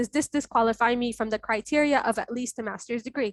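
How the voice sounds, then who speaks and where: This woman's high-pitched voice holds a fairly even intonation, recorded with a dry, close sound and no echo. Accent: Arabic. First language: Arabic. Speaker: fellowship alumna and webinar presenter. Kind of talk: online info session Q&A. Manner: direct, firm.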